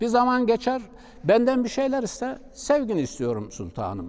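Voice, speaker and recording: A man is speaking. His pace is fairly slow. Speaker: Islamic preacher. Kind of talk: religious talk.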